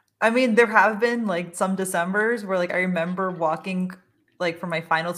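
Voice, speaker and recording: With fairly even intonation, a woman speaks at medium pitch and a moderate pace in an ordinary speaking voice. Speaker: podcast host and dietitian. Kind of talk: casual chat. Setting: recording a podcast.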